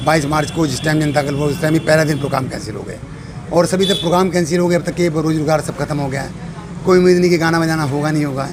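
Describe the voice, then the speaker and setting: Noticeable background noise sits behind the voice. A man speaks at a fairly high pitch in a monotone, flat way. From Saharanpur, India. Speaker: stage comedian and mimic. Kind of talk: interview answer.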